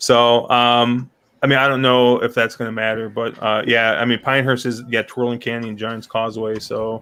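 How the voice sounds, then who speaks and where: His intonation stays monotone and flat. The man's pitch is medium. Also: moderate pace. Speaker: horse racing podcast host. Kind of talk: casual panel chat.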